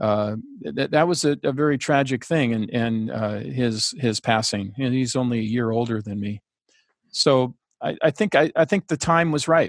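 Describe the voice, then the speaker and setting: With an unremarkable speaking voice, a man talks at a moderate pace and medium pitch with ordinary pitch variation, the sound dry and close with no echo over a quiet background. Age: 60s. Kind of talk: interview conversation. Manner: relaxed, chatty.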